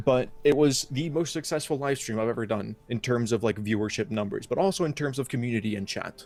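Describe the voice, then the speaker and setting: At a very fast pace, a man speaks with medium pitch and ordinary pitch variation. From Iceland. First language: Icelandic. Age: 20s. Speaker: game modder and streamer. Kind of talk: casual interview chat. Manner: halting, many fillers.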